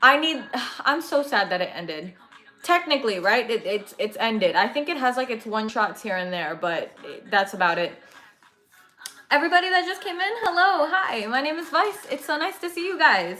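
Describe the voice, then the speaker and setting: A woman's raised, projected, high voice with an American accent, very wide pitch swings and a moderate pace, over noticeable background noise. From California. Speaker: anime livestreamer. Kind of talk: casual chat. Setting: livestream.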